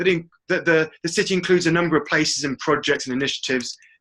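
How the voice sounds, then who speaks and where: With an English accent, a man speaks at a very fast pace in a bright, sharp tone with ordinary pitch variation. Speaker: webinar presenter. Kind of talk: webinar presentation. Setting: online webinar call.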